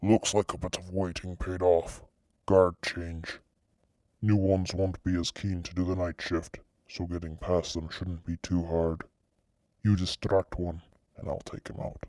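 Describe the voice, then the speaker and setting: A man puts on a character voice with a very deep, low pitch and a flat, monotone delivery, speaking at a moderate pace with long, frequent pauses in a very clean recording over a silent background. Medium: read story. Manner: blunt, curt, impatient.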